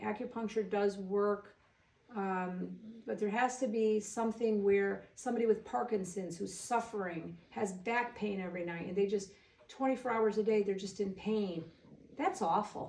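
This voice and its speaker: With an American accent, a woman speaks at medium pitch and a moderate pace against noticeable background noise. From Waterbury, Connecticut. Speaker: nurse and hairdresser. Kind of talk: interview chat. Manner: animated.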